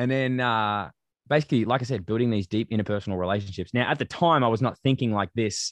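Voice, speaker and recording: Someone with an Australian accent talks at a very fast pace, the sound dry and close with no echo and a quiet background. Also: man. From Australia, western suburbs of Melbourne. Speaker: athlete and student. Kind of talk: interview conversation.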